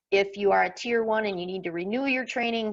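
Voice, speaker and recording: Ordinary pitch variation runs through an ordinary speaking voice. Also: woman. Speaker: workshop presenter and farmer. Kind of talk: online workshop presentation.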